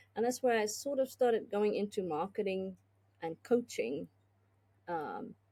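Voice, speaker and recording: Lively intonation runs through a woman's dark, mellow voice, broken up by long, frequent pauses. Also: medium pitch for a woman, fairly slow pace. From South Africa. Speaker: business consultant and tech executive. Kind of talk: podcast interview.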